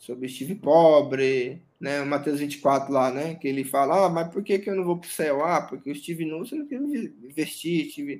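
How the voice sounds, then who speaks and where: A man's fairly high, ordinary speaking voice at a moderate pace. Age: 30s. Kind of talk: interview testimony.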